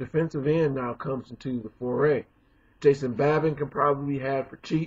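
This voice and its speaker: A man's fairly high, somewhat breathy voice with monotone, flat intonation, big swings in loudness and a fairly quick pace. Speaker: sports commentator. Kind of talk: casual talk to camera.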